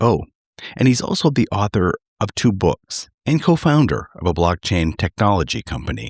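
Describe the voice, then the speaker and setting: Over music in the background, a man with an American accent speaks at a moderate pace with very wide pitch swings, the sound dry and close with no echo. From Minnesota, Twin Cities. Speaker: podcast host. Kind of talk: scripted introduction.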